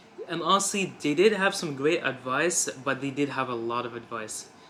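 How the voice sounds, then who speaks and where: Noticeable background noise sits behind this recording. The man's voice is fairly high in pitch and moves at a moderate pace. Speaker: self-improvement YouTuber. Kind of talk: motivational talk to camera. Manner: halting.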